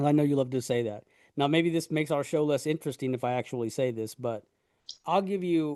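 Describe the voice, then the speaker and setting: Loud and dark, mellow in tone, the voice races at a very fast pace with ordinary pitch variation against a quiet background. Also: man, fairly high pitch for a man. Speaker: podcast co-host. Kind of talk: casual chat.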